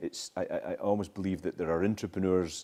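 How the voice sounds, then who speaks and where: With a Scottish accent, a man speaks at a very deep, low pitch. His tone is dark and mellow. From Scottish island. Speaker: social entrepreneur, former consultant. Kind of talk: talk with Q&A at university event.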